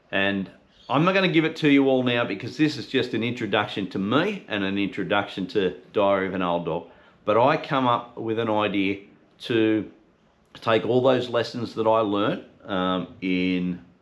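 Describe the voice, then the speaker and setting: Using ordinary pitch variation, a man speaks at a moderate pace in a fairly low voice. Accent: Australian. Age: 50s. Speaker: podcast host. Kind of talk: casual talk to camera. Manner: unscripted, conversational.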